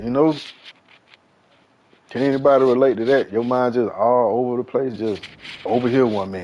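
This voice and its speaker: The speaker is a man. He talks at a medium pitch. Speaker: gaming livestreamer. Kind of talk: casual chat. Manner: fast; animated.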